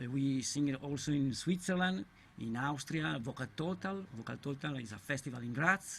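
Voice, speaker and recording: A man speaks with an Italian accent at a fairly high pitch. His voice is somewhat breathy. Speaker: a cappella singer. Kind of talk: interview. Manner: halting.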